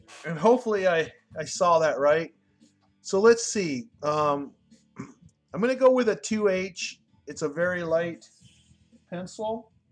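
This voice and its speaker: Over music in the background, a man with a high pitch talks at a fairly slow pace in a relaxed tone, using lively intonation and long, frequent pauses. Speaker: drawing teacher. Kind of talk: live tutorial. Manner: relaxed, hesitant with fillers.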